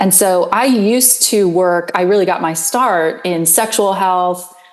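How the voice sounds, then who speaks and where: A woman of medium pitch speaks at a fairly slow pace with very even loudness and ordinary pitch variation. There is noticeable background noise. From Pennsylvania. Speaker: public health professor. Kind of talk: interview. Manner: halting, many ums.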